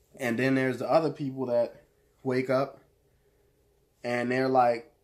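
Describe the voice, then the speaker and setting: In a monotone, flat delivery, a man speaks at a medium pitch. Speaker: motivational video creator. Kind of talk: motivational monologue. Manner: casual, hesitant with fillers.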